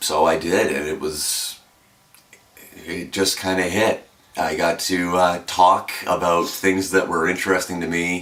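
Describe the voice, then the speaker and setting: A man with a very deep, low voice speaks in a flat monotone over noticeable background noise. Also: fairly slow pace. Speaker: radio announcer. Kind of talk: interview.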